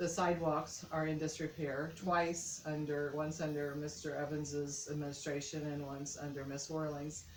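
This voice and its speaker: In an American accent, a woman speaks at a very deep, low pitch and a moderate pace with hardly any pauses. Noticeable background noise and audible room echo come through. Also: fairly even intonation. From US Midwest, Indiana. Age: 60s. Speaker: mayoral candidate. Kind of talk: interview. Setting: on camera interview.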